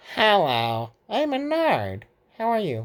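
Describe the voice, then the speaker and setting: This is a put-on character voice with a fairly high pitch and a cheerful tone. It moves at a fairly slow pace. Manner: put-on character voice, cheerful greeting.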